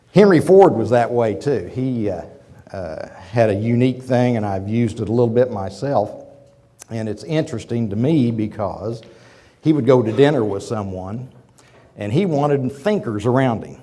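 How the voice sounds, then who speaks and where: With an American accent, a man speaks at a moderate pace in a dark, mellow tone, his pitch medium with ordinary variation, and audible room echo around him. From Oklahoma. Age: 50s. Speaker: business executive. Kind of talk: lecture. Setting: auditorium with audience. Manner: halting.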